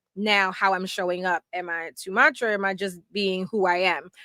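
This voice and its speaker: Loud and bright with a sharp tone, the voice moves at a moderate pace in a very clean recording with a silent background and a dry, close sound with no echo. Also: woman. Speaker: podcast co-host. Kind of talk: casual chat.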